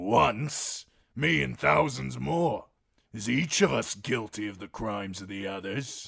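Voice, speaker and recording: Putting on a raspy character voice, a man speaks at a fairly slow pace with a fairly low pitch and very wide pitch swings. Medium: read story. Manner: coarse, contemptuous, blunt.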